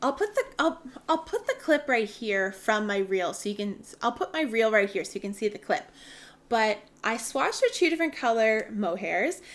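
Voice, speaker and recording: Speaking fairly slowly in a plain, everyday voice, a woman has a Canadian accent and a fairly high pitch. Her intonation is lively. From Canada. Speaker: knitting podcaster. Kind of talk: casual chat. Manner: chatty, with filler ums.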